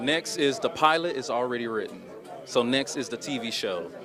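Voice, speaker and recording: A man with an American accent speaks at a moderate pace with ordinary pitch variation, his voice carrying audible room echo over crowd noise in the background. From Oklahoma, Muskogee. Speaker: filmmaker and actor. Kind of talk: interview.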